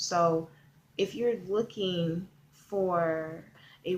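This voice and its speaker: Quiet and fairly even in intonation, a woman speaks. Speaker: online marketing vlogger. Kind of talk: video tutorial. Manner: kept quiet, subdued; casual with many fillers.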